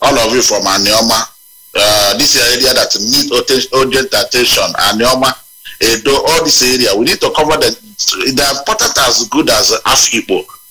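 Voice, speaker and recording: A man with a Nigerian accent at a moderate pace, very even loudness, and music in the background. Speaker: activist caller. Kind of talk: call-in radio show.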